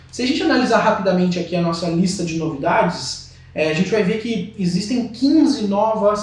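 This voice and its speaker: Audible room echo and noticeable background noise fill the recording. A man speaks at a moderate pace with lively intonation. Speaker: software company presenter. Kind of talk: webinar presentation. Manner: hesitant with fillers.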